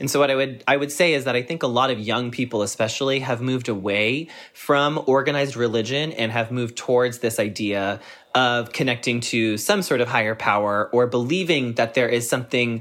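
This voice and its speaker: The speech has a normal speaking voice, a fairly quick pace and ordinary pitch variation. The background is silent in this very clean recording. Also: man. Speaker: journalist and podcast host. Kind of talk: casual interview chat.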